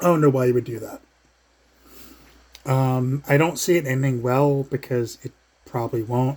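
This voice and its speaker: The man's voice comes across as somewhat breathy. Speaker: sports and wrestling vlogger. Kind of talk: casual vlog commentary. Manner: hesitant, many fillers.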